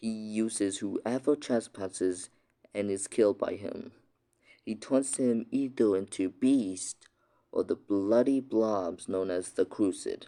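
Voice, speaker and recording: A man speaks quietly and very slowly in a fairly low voice with ordinary pitch variation. The recording is very clean, with a silent background. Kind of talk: fantasy story reading. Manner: quiet, hushed; stammering, hesitant.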